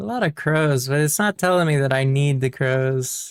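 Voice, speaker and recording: The speaker mumbles at a moderate pace. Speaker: gaming YouTuber. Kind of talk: casual gameplay commentary. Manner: mumbling; hesitant, many fillers.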